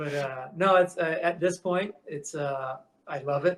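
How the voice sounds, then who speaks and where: The speaker talks at a fairly slow pace with an American accent. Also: man. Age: 60s. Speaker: metal shaper, custom shop owner. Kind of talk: podcast interview. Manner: halting, many fillers and restarts; casual, conversational.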